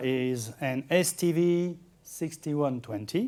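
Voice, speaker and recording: A man with a French accent, a dark, mellow tone and lively intonation. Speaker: amateur radio software developer. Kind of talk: conference talk. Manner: halting.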